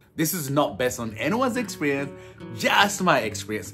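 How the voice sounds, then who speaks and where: Faint music plays in the background as a man talks with very wide pitch swings. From Uganda. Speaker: foster parent and speaker. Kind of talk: casual talk to camera. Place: home room. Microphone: phone near.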